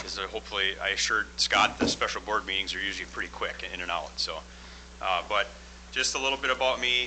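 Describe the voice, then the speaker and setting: Over noticeable background noise, a man with a fairly low pitch talks at a very fast pace, his pitch swinging very widely. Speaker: construction project manager. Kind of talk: business presentation.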